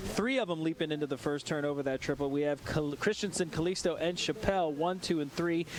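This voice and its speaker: Against noticeable background noise, a man talks very fast at a fairly high pitch, with ordinary pitch variation and very even loudness. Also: hardly any pauses. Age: 40s. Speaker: BMX race commentator. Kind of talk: live commentary. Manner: fast, animated.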